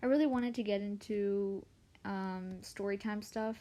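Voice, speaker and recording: Quiet and dark, mellow in tone, a woman speaks in a medium pitch with fairly even intonation. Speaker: artist live streamer. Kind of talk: casual live stream chat. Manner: quiet, lowered voice; halting.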